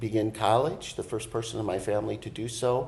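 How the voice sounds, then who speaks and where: Here a man talks in a somewhat breathy voice with an American accent. His intonation is fairly even. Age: 60s. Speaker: college program co-director. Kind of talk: interview. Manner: halting, many fillers.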